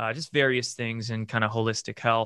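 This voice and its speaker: Recorded very clean with a silent background and a dry, close sound with no echo, a man with an American accent has a bright, sharp tone. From US Pacific Northwest, Bremerton, Washington. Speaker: independent journalist and content creator. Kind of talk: casual interview conversation.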